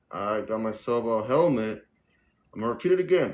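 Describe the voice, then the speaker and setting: A man's intonation is lively as he talks at a moderate speed. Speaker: livestreamer, e-bike news videographer. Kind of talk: casual livestream product review. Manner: hesitant, many fillers.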